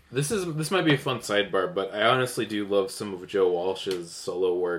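Ordinary pitch variation from a man at a fairly quick pace. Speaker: podcast host. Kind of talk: casual chat. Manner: loud.

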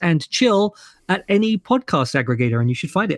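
Speaking with a London accent, a man uses a high voice with very wide pitch swings at a moderate pace. The sound is dry and close, with no echo. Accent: southern English (London). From London, England. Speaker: podcast host and ethical society leader. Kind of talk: casual interview chat.

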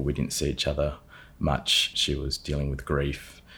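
There is vocal fry in this man's very deep, low voice. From South Australia, Adelaide area. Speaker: performance coach, former property development manager. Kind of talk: casual interview.

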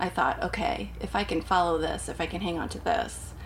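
A woman speaks with an American accent. The recording has audible room echo and noticeable background noise. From US Pacific Northwest (Portland, Oregon). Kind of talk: casual chat.

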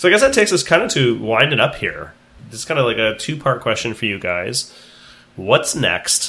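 An American accent marks this man's bright, sharp tone. He talks at a moderate pace, his pitch swinging very widely. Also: medium pitch for a man. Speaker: high school teacher and podcast host. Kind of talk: casual interview.

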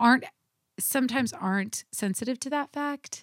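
Lively intonation comes through in a dry, close sound with no echo. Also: woman. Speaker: historian and professor. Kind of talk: casual chat. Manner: fast.

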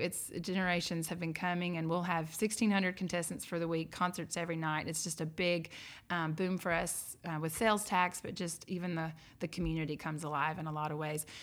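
A woman with an American accent talks at a fairly quick pace, her fairly low pitch held in fairly even intonation. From Georgia, US South. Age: 30s. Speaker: chamber of commerce director. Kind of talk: casual interview chat. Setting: in person, on location in town.

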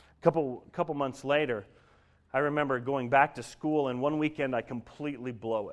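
A man with a normal speaking voice and an American accent talks at medium pitch with ordinary pitch variation. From Colorado, US. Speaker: guest sharing faith story. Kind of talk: testimony.

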